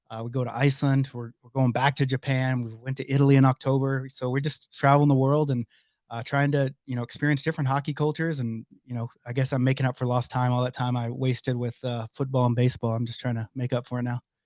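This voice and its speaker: Over a quiet background, a man with a medium pitch speaks at a very fast pace with hardly any pauses, a monotone, flat intonation and big swings in loudness, in a dry, close sound with no echo. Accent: American. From Oklahoma, US. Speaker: hockey league organizer. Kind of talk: podcast interview.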